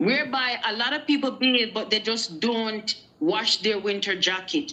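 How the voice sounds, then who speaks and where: Against noticeable background noise, a woman with a Jamaican accent speaks at a moderate pace in a fairly high pitch with ordinary pitch variation. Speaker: guest on a live show. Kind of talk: casual chat. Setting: live stream.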